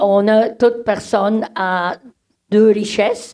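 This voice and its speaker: Very slow in pace, a woman with a Swiss German accent talks in a fairly high pitch. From German-speaking Switzerland. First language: Swiss German (speaking French). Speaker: community organization director. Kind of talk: conference presentation. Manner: hesitant, many fillers.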